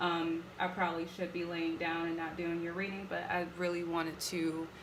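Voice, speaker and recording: A woman speaks at a moderate pace and fairly low pitch in a monotone, flat intonation. Audible room echo and noticeable background noise surround her. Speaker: tarot reader. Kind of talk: tarot reading monologue. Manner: casual, many fillers.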